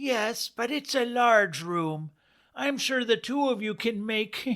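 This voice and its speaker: A put-on character voice, fairly high in pitch and fairly slow, on a very clean recording with a silent background. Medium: read story. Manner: curt, disapproving.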